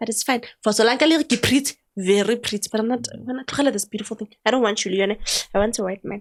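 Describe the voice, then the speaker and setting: Animated in tone, the speaker talks at a very fast pace with ordinary pitch variation. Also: woman, fairly high pitch for a woman. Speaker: podcast host. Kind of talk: casual chat. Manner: talkative.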